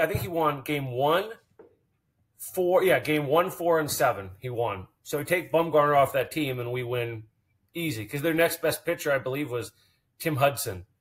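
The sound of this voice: A man speaks with lively intonation at a fairly high pitch. His voice has a slightly husky edge. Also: moderate pace.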